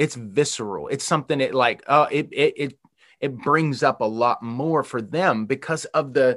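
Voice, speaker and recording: Here a man with an American accent uses an ordinary speaking voice, fairly high in pitch. He keeps a moderate pace and ordinary pitch variation against a quiet background. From Western Pennsylvania. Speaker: pastor. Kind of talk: sermon.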